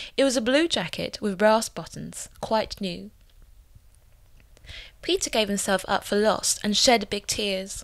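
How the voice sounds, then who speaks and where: A woman's fairly high voice with vocal fry and ordinary pitch variation, at a fairly slow pace with long, frequent pauses, on a very clean recording with a silent background. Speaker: voice actor. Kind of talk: storybook reading. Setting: home recording demo.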